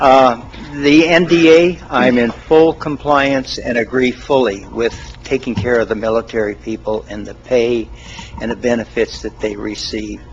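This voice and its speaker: Against noticeable background noise, a man with an American accent speaks fairly slowly at a medium pitch, with ordinary pitch variation and big swings in loudness. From Oregon. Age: 70s. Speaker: citizen giving public comment. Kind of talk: public comment at county meeting. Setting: county commission meeting, at a mic.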